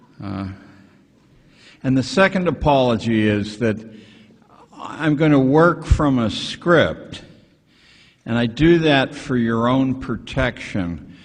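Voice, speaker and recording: A man with a medium pitch speaks at a very slow pace with long, frequent pauses. His intonation is lively, and background noise is noticeable. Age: 70s. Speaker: education critic and author. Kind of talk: speech reading from a script.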